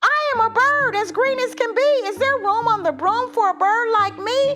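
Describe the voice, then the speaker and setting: Putting on a squeaky character voice, a woman speaks at an extremely high pitch and a moderate pace as music plays in the background. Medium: read story. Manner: eager, polite.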